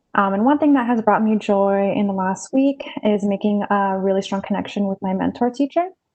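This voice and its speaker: A woman talks at a fairly quick pace with an American accent and medium pitch. Hers is an unremarkable speaking voice with ordinary pitch variation. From Las Vegas, Nevada, US. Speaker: university student. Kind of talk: self-introduction on video call.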